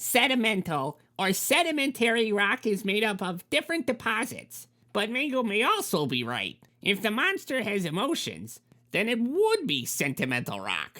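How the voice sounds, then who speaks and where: The delivery moves at a moderate pace. It is a put-on character voice, fairly high in pitch. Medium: read story. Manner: explanatory, pedantic.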